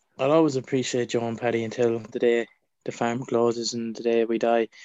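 A man with an Irish accent, medium in pitch. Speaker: pro wrestler. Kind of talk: casual chat.

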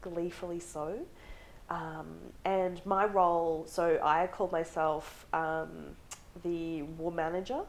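A woman with an Australian accent, fairly low-pitched, very slow and monotone with flat intonation. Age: 20s. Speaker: feminist advocate. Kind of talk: casual interview.

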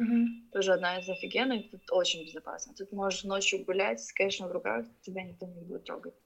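A woman talks very fast at medium pitch, with lively intonation, vocal fry and big swings in loudness. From Ukraine. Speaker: artist and marketer. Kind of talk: casual interview chat.

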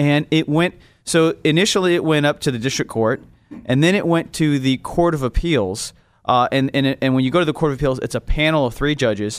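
A man with a normal speaking voice talks at a fairly quick pace in a fairly high pitch, with ordinary pitch variation and very even loudness, on a very clean recording with a silent background. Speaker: legal advocate. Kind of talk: interview. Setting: studio.

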